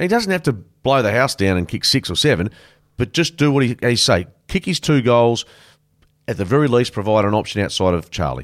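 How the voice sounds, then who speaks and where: A man with an Australian accent talks at a fairly quick pace and a medium pitch, his voice making very wide pitch swings. The recording is very clean, with a silent background. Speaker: podcast host, footy commentator. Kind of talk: casual chat about AFL. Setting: studio. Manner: laid-back, jokey.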